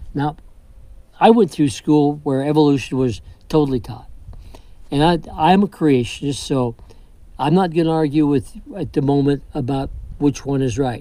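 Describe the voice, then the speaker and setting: A man talks at a moderate pace in a fairly high pitch with a dark, mellow tone. His pitch varies in an ordinary way, and he takes long, frequent pauses. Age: 80s+. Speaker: health and faith speaker. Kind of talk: talk on health and Torah.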